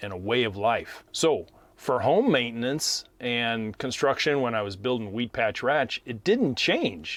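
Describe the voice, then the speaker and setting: A man with an ordinary speaking voice and medium pitch talks at a fairly slow pace with hardly any pauses. The recording is very clean, with a silent background. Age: 60s. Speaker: landscaping coach, podcast host. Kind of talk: casual podcast talk. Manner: relaxed, conversational with fillers.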